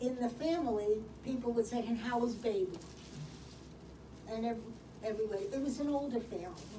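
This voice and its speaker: A woman speaks with a Brooklyn accent, her voice fairly high with ordinary pitch variation. Room echo can be heard. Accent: New York (Brooklyn). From Brooklyn, New York. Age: 70s. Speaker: senior program participant. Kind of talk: life story presentation. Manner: halting.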